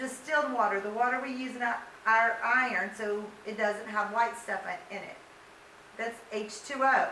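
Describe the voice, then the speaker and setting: A woman with a fairly high pitch speaks at a moderate pace with fairly even intonation and long, frequent pauses. Her loudness swings widely, with audible room echo and noticeable background noise. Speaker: high school science teacher. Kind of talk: lecture.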